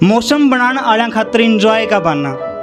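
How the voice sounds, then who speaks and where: Music plays in the background as a man speaks at a high pitch. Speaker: poet. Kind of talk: poetry reading at an open mic event.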